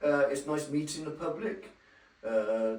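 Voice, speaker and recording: Speaking fairly slowly with a West Country accent, a man's pitch varies in an ordinary way amid noticeable background noise and audible room echo. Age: 60s. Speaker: dairy farmer. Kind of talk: on-location interview. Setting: on a farm. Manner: hesitant, plain-spoken.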